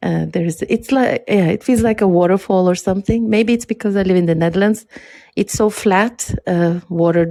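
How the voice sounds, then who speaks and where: A woman speaks at a fairly quick pace in a medium pitch, with a dark, mellow tone. Her intonation is fairly even and her loudness very even. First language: not English. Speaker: podcast guest. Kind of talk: casual chat. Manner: hesitant, many fillers.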